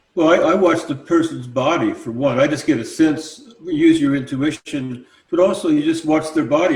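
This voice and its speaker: A man's voice sounds somewhat breathy. He keeps a moderate pace and fairly even intonation. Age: 70s. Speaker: sound healer. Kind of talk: live panel discussion.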